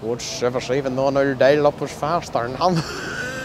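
Recorded with a dry sound with no echo and light background noise, a man with a Northern Irish accent speaks at a fairly high pitch with ordinary pitch variation. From Derry, Northern Ireland. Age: young. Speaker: comedian. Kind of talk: street interview banter. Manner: fast. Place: street. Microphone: handheld.

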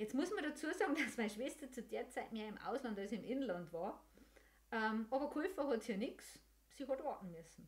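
Speaking at a moderate pace with a Bavarian accent, the voice swings very widely in pitch. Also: woman, high pitch for a woman. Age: 50s. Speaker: podcast host and senior care service owner; podcast host. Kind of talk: casual monologue. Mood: warm, humorous. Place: home room. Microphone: studio mic.

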